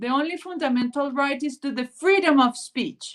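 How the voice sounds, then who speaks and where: A woman speaks in a Spanish accent. Her voice is high-pitched, with fairly even intonation. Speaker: panel speaker. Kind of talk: panel discussion. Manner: halting.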